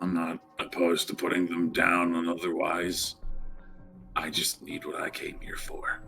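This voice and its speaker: A raspy put-on character voice at a moderate pace, with clear music in the background. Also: man. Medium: actual play. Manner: guarded, terse.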